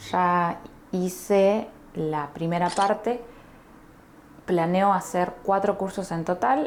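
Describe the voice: In a fairly low voice with ordinary pitch variation, a woman with an Argentine accent speaks at a slow pace.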